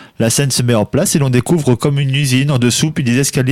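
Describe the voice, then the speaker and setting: In a dry, close sound with no echo, a man at medium pitch speaks at a fairly quick pace. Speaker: radio columnist. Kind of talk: scripted narration.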